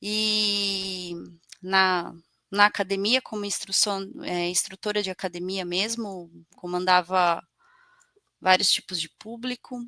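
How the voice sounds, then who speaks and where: Speaking at a very slow pace with long, frequent pauses, a woman uses a medium pitch, fairly even intonation, and a bright, sharp tone. The recording is very clean with a silent background, dry and close with no echo. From Brazil, São Paulo state interior (Bariri). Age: 30s. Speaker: personal trainer. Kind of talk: casual interview chat. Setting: studio, live broadcast.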